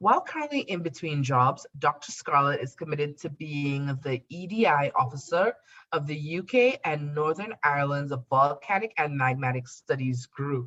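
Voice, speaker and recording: A Trinidadian accent with hardly any pauses. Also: moderate pace. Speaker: podcast host. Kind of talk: podcast interview. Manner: formal.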